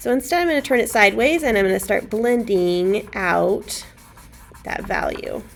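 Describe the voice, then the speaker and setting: Over noticeable background noise, a woman talks at a moderate pace in a fairly high pitch with lively intonation. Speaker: art teacher. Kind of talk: tutorial. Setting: recorded lesson for students while teacher is absent.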